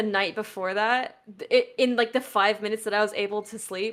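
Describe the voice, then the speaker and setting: Fairly high in pitch, a woman speaks at a fairly quick pace with ordinary pitch variation. Her tone is bright and sharp. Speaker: Minecraft speedrunner and tournament organiser. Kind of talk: casual chat. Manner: loud; halting.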